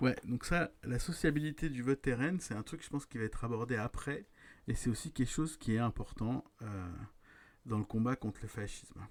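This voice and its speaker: A man is speaking. His intonation is lively. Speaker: streamer reading and commenting a political book. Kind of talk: reading aloud with commentary, live stream.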